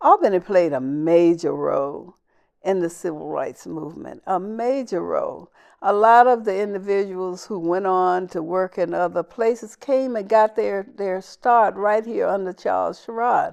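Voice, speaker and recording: A woman in a Southern US accent speaks at a moderate pace and medium pitch with ordinary pitch variation against a quiet background. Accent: Southern US (Georgia). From US South, Southwest Georgia. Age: 70s. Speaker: civil rights leader. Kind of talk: interview.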